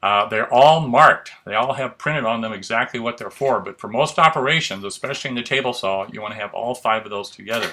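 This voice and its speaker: Noticeable background noise accompanies a man speaking at a very fast pace with a medium pitch. His loudness swings widely, with ordinary pitch variation. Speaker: woodworking instructor. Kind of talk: tutorial. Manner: casual.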